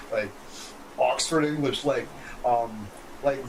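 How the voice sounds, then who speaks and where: A man speaks with a fairly high pitch, with noticeable background noise and audible room echo. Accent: slight Canadian. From Canada. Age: 40s. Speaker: gaming streamer. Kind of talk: casual gameplay commentary. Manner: animated.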